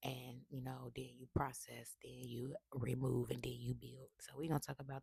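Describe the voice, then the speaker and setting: Whispering with vocal fry, a woman speaks at a fairly slow pace. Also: dry, close sound with no echo. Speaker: tarot reader. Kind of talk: spiritual reading monologue. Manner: casual.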